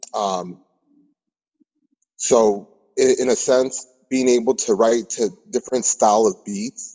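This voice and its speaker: With an American accent, a man talks at a fairly slow pace with long, frequent pauses and ordinary pitch variation. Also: medium pitch for a man. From California. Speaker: rapper. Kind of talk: interview. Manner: halting.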